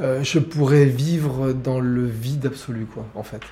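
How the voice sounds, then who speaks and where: A man talks very slowly, his intonation fairly even. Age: 60s. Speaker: playwright and theatre director. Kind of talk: casual interview at home. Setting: at his home. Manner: halting, repeating words.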